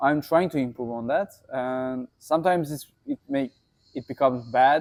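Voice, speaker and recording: A man with a Turkish accent talks at a fairly slow pace with fairly even intonation. The sound is dry and close, with no echo. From Turkey. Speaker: sports trainer. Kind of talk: casual interview chat. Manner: halting non-native English.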